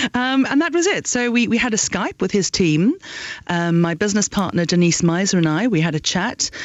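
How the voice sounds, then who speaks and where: With a South African accent, a woman speaks at a fairly quick pace, her medium pitch lively in intonation and her loudness very even. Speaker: education entrepreneur. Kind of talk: radio interview. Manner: halting.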